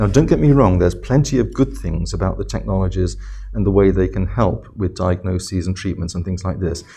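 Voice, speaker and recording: A man speaks fairly quickly in a very deep, low pitch with vocal fry. His tone is dark and mellow, and his intonation is lively. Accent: English. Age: 70s. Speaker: professor. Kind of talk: interview.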